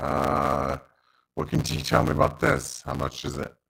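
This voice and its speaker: A man puts on a character voice that is raspy and very deep. He speaks at a moderate pace with monotone, flat intonation. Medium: actual play.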